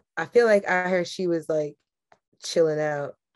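This woman speaks with an American accent. Her pitch varies an ordinary amount. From New York. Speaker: podcast co-host. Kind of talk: casual chat, joking banter.

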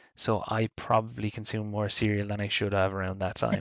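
With an Irish accent, a man speaks in a fairly low pitch at a moderate pace, his intonation monotone and flat. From Ireland. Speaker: podcast co-host. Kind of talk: casual chat.

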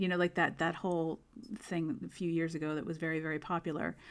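A woman with an American accent and a fairly low pitch speaks at a fairly quick pace in an ordinary speaking voice. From United States. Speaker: music therapist and singer. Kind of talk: casual interview chat. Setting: online call.

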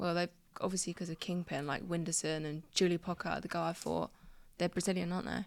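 A woman with a southeast English accent, fairly low-pitched with vocal fry, monotone and flat at a very fast pace, in a very clean recording with a silent background. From southeast England, Crawley. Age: 20s. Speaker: boxer and content creator. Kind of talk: casual chat. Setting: studio.

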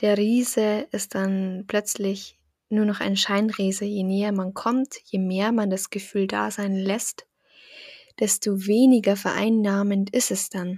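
Very slowly and in a monotone, flat intonation, a woman speaks at a medium pitch with a calm, soothing tone. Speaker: meditation guide. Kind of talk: guided meditation. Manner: calm, slow, soothing; gentle, encouraging.

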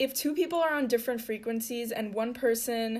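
At a moderate pace, a woman speaks with a fairly high pitch. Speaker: podcaster. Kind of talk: casual solo podcast monologue. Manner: excitable, filler-heavy.

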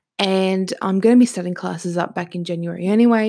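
A woman with an Australian accent speaks at a moderate pace and medium pitch, her dark, mellow tone showing ordinary pitch variation on a very clean recording with a silent background. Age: 20s. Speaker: podcast host. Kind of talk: casual monologue. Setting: home recording with microphone.

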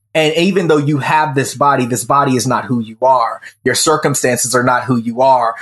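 A man with an American accent uses a normal speaking voice, fairly high in pitch, at a moderate pace with fairly even intonation. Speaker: self mastery coach. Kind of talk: casual interview.

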